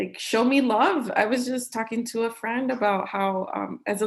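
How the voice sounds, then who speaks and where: Speaking fairly slowly with a Chicago-area accent, a woman uses ordinary pitch variation. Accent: Chicago-area American English. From Cicero, Illinois, US Midwest. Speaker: author. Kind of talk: conversation. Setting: live-streamed video event.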